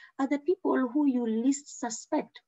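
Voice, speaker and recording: A woman speaks at a high pitch. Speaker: medical exam tutor. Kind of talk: online training lecture. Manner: fast; animated.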